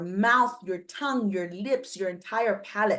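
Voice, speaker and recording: A woman speaks at a fairly slow pace with lively intonation and an animated tone. The background is quiet. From Cameroon. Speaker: public speaking coach. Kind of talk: workshop talk.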